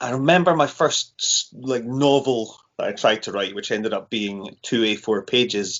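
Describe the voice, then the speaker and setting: A man speaks with a Scottish accent at a medium pitch. His pace is fairly slow. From Scotland. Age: 30s. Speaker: horror author. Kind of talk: casual chat.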